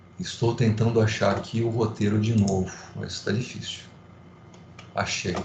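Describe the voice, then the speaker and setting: With audible room echo and noticeable background noise, a man talks at a fairly slow pace with fairly even intonation and long, frequent pauses. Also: medium pitch for a man. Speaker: law professor. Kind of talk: lecture. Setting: online class via video platform.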